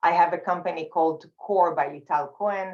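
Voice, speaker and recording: Her intonation is fairly even, at a moderate pace. The woman's pitch is fairly low. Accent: Israeli. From Israel. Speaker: communication facilitator and speaker. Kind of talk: panel discussion.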